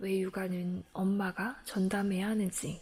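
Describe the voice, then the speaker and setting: A woman's medium-pitched, somewhat breathy voice with a calm, soothing tone and a dark, mellow tone, at a very slow pace. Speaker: book reader. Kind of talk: audiobook-style book reading.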